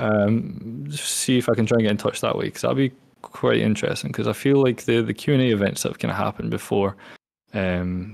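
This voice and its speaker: A fairly quick pace with a Scottish accent. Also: man. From Scotland. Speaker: gaming community event host. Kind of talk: panel discussion.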